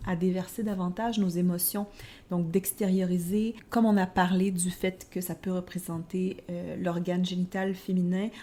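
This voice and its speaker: In a Quebec accent, a woman at medium pitch talks at a moderate pace and sounds somewhat breathy. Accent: Québécois. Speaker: tarot podcast co-host. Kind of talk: casual podcast discussion.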